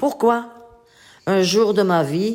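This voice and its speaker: Amid noticeable background noise, a woman speaks with lively intonation. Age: 80s+. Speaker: elderly writing workshop participant. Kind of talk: reading aloud own life story.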